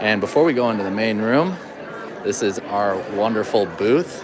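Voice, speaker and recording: Crowd noise fills the background as a man speaks. His fairly low voice carries audible room echo. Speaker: event host filming a walkthrough. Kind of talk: live event walkthrough. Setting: seminar venue entry room. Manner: lowered voice.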